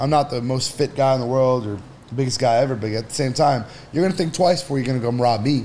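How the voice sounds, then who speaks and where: Through noticeable background noise, a man with a medium-pitched voice talks at a very fast pace. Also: ordinary pitch variation. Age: 30s. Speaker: entrepreneur. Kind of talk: casual chat.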